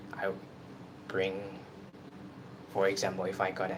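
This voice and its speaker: In a Burmese accent, a man with a very deep, low pitch speaks at a moderate pace in a monotone, flat way, with audible room echo around him. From Myanmar. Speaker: YouTuber. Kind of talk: casual live stream chat. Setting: live stream at night in room. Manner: halting.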